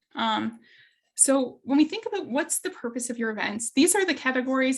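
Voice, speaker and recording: This woman speaks at a fairly quick pace with a Canadian accent, her high pitch carried by lively intonation. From Ontario, Canada. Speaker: workshop facilitator. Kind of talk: online workshop.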